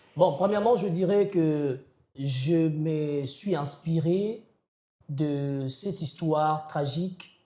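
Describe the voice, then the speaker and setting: A man with a Congolese accent at a very slow pace, fairly high in pitch with ordinary variation and a dark, mellow tone. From DR Congo. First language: Kikongo (speaking French). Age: young. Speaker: slam poet. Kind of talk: interview. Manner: halting, many hesitations.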